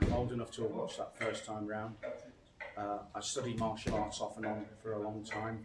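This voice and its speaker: With a Scouse accent, a man talks at a fairly quick pace in a fairly low, monotone, flat voice amid noticeable background noise and audible room echo. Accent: Scouse (Liverpool English). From northern England, Liverpool. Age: 60s. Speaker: military veteran, martial arts student. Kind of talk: interview.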